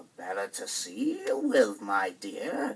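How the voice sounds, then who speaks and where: A man talks in a put-on character voice. His pace is fairly slow. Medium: read story. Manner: falsely polite, smooth.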